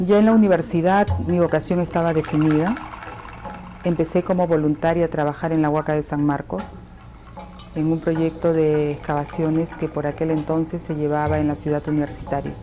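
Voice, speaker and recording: A moderate pace and fairly even intonation, set against noticeable background noise. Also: woman, very deep, low pitch for a woman. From Peru (Lima). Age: 70s. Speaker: archaeologist. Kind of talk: interview testimony.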